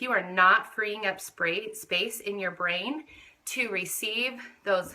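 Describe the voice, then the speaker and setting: An ordinary speaking voice, a woman's, at medium pitch with ordinary pitch variation. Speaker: direct sales consultant. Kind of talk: live video training.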